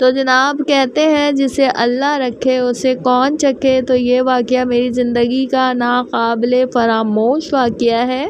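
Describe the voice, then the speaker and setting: Over noticeable background noise, a woman speaks in a high pitch with monotone, flat intonation and very even loudness. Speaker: vlogger. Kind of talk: casual personal vlog monologue.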